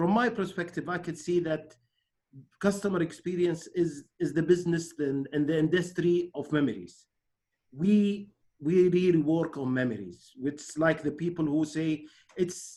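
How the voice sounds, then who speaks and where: A man with an Arabic accent speaks at a moderate pace in a high pitch, his tone dark and mellow and his pitch varying in an ordinary way. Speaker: webinar host. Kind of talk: online interview. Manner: halting.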